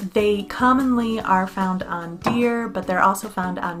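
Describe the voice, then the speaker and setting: A woman with an American accent, music playing behind her. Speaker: English teacher. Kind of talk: casual educational talk to camera.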